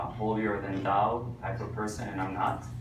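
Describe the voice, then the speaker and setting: Speaking with a strong Israeli accent, a man with a fairly low pitch keeps a fairly even intonation amid audible room echo and noticeable background noise. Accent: thick Israeli. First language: Hebrew. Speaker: tour guide and Bible history teacher. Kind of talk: lecture. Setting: church presentation to a group. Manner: hesitant, many filler uhs.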